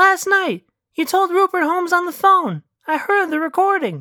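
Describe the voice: At a moderate pace, a woman performs a put-on character voice with an extremely high pitch, big pitch swings and a bright, sharp tone.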